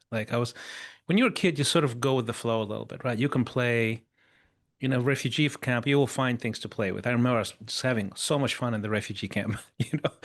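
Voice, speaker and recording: Speaking very fast with a non-native accent, a man uses a medium pitch and ordinary pitch variation over a quiet background. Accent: foreign accent in English. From Chile, Africa and Russia (multinational childhood). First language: Spanish and Russian. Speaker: mentor and former pop singer. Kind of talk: podcast interview. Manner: casual, halting with false starts.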